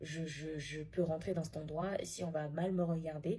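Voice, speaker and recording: A woman with a fairly low pitch and a dark, mellow, somewhat breathy tone speaks at a moderate pace with fairly even intonation. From Africa. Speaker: social media commentator. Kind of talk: casual vlog monologue. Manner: halting with repetitions.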